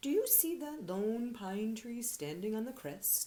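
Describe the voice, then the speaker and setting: A female-sounding voice is put on as a character voice. It is fairly high-pitched and moves at a fairly slow pace. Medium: read story.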